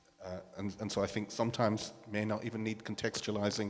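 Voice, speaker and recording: A man with a Northern Irish accent talks at a fairly quick pace in a fairly low voice. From Northern Ireland. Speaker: panelist. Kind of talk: panel discussion.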